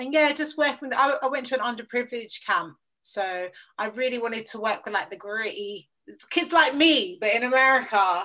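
A woman with a South London accent talks at a fairly quick pace with lively intonation. Her voice is high in pitch, with a bright, sharp tone. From south east London, Lewisham. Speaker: radio presenter and producer. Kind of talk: casual interview chat.

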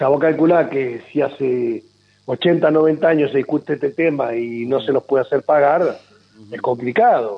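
A plain, everyday voice from a man, fairly high and fairly slow, with ordinary pitch variation. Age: 50s. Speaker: politician. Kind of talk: radio interview.

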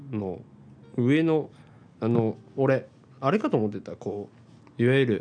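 Long, frequent pauses mark the speech, with music in the background. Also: man, medium pitch for a man, ordinary pitch variation, moderate pace. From Hiroshima, Japan. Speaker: podcast co-host. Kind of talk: casual chat.

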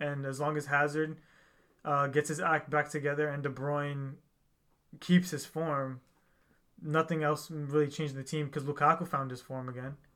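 With an American accent, the speaker talks at a fairly quick pace in a flat monotone, captured in a very clean recording with a silent background. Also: man. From United States. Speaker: podcast host. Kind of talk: casual chat.

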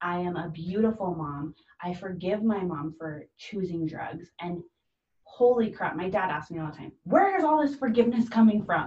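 Using an unremarkable speaking voice, a woman of medium pitch talks at a moderate pace with lively intonation. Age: 20s. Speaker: guest sharing recovery story. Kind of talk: personal testimony.

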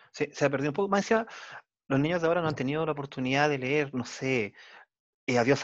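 Against a quiet background, a man with a normal speaking voice talks at a fairly quick pace and fairly high pitch. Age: 40s. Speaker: podcast host. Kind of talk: interview.

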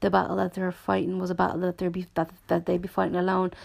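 A woman with a Dublin accent. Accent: Dublin Irish. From Dublin, Ireland. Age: 20s. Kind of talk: solo podcast monologue. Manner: halting, frequent restarts and fillers.

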